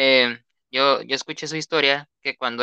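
A man with a Mexican accent talks at a medium pitch, his intonation fairly even. His tone is bright and sharp, and the sound is dry and close with no echo. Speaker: podcast host and music artist. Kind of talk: casual chat.

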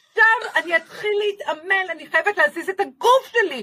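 In a raised, projected voice, a woman speaks at an extremely high pitch with a bright, sharp tone. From Israel, Haifa. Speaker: positive thinking lecturer and author. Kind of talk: casual interview.

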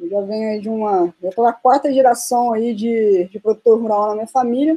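A woman speaks at a moderate pace with a fairly high pitch and lively intonation. Her tone is dark and mellow, and the sound is dry and close with no echo. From Brazil, Minas Gerais (Serra da Canastra). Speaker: podcast co-host, coffee export businesswoman. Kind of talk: casual chat.

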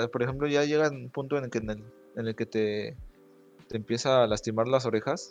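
An unremarkable speaking voice moves at a fairly quick pace with ordinary pitch variation. The background is quiet. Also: man. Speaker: podcast guest. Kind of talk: casual chat.

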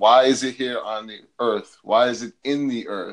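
A man talks at a moderate pace at a medium pitch. He has an ordinary speaking voice with fairly even intonation. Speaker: health and fitness coach. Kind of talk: casual chat.

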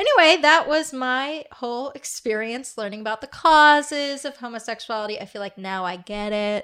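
A woman's raised, projected voice, high in pitch, with lively intonation, a moderate pace and hardly any pauses on a very clean recording with a silent background. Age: 30s. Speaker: podcast co-host. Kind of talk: casual chat.

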